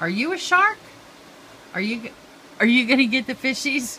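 A woman speaks slowly-ish, at a fairly slow pace and high pitch, with lively intonation. Her tone is bright and sharp.

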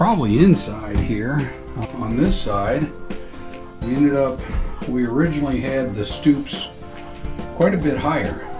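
Clear music plays in the background. Over it, a man talks at a fairly slow pace. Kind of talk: casual tour commentary. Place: farm machine. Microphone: phone near.

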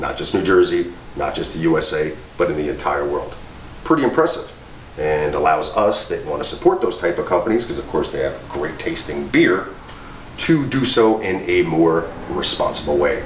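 A man speaks at an extremely low pitch and a moderate pace. His intonation is lively, and room echo is audible.

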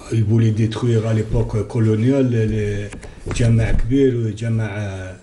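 A man talks at a fairly slow pace in a fairly low, somewhat breathy voice with a dark, mellow tone. His intonation is monotone and flat, and background noise is noticeable. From Algeria. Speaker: descendant of a historical doctor; TV guest. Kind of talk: TV interview. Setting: TV studio. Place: studio. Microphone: lapel.

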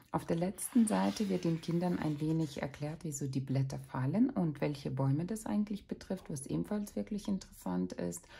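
A somewhat breathy, dark, mellow tone with very wide pitch swings. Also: woman, very clean recording, silent background. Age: 30s. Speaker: parenting vlogger. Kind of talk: book review. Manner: casual.

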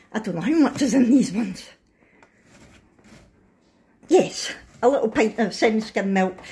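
A woman speaks at a fairly high pitch and a fairly slow pace, her intonation lively. Her tone is dark and mellow, with a husky, rough edge.

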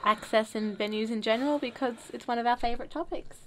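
A woman talks fairly quickly, her high pitch showing ordinary variation. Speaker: radio show host. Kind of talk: casual radio chat. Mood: cheerful, laughing. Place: studio. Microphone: studio mic.

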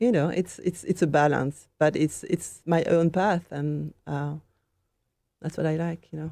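On a very clean recording with a silent background, a woman with a French accent speaks at a fairly slow pace, her pitch very deep and low, her tone dark and mellow, with ordinary pitch variation. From France, Normandy. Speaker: painter. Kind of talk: interview.

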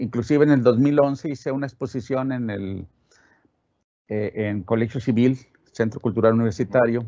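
A man with a northern Mexican accent at a moderate pace, ordinary pitch variation, long, frequent pauses and a quiet background. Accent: northern Mexican (Monterrey) Spanish. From Monterrey, northern Mexico; Mexico. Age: 70s. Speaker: sculptor. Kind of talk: interview. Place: studio.

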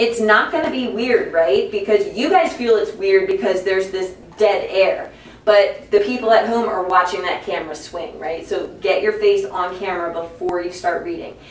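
Audible room echo and light background noise at a moderate pace. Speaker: teacher coaching student broadcast crew. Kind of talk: classroom instruction. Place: studio.

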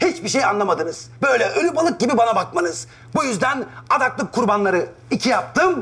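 A man's put-on character voice, extremely high in pitch and fairly bright in tone, with big pitch swings at a fairly quick pace.

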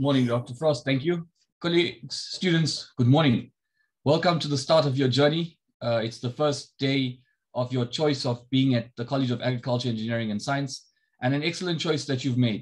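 Against a quiet background, a man sounds somewhat breathy, talking at a moderate pace with ordinary pitch variation. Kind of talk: welcome address. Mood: warm, encouraging. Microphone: video call.

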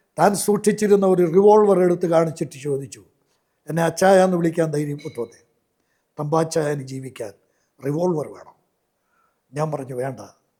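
Pitched high, a man speaks with a dark, mellow tone and big swings in loudness. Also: ordinary pitch variation. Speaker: evangelist. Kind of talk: testimony. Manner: halting.

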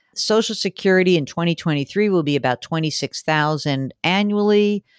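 With an ordinary speaking voice, a woman speaks at a fairly slow pace and fairly low pitch with lively intonation, in a very clean recording with a silent background and a dry, close sound with no echo. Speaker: financial radio host. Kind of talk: advice show answering listener questions.

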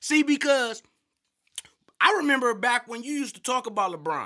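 Against a quiet background, a man speaks in a raised, projected voice at an extremely high pitch, fairly quick in pace, with a bright, sharp, animated tone and lively intonation. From US. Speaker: sports commentator. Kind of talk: sports commentary rant, profane, comedic. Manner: loud, animated, ranting. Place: studio. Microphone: studio mic.

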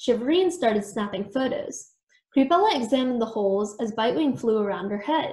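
Against a quiet background, lively intonation carries through as someone is reading aloud in a natural voice.

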